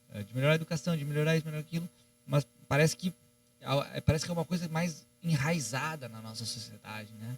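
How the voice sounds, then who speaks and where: A man with a fairly high pitch races along at a very fast pace with ordinary pitch variation and big swings in loudness, in a dry, close sound with no echo. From Rio de Janeiro, raised mostly in Rio Grande do Sul. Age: 30s. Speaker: economist and political strategist. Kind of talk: podcast interview. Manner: hesitant, many fillers.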